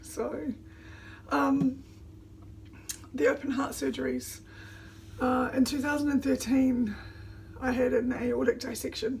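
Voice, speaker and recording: Against noticeable background noise, a woman with a New Zealand accent talks at a fairly slow pace with long, frequent pauses. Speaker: vlogger. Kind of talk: casual vlog talk. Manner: halting, many fillers.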